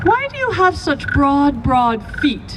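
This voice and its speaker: Over clear background noise, a woman puts on a character voice at a high pitch and a fairly slow pace. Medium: read story. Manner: probing, questioning.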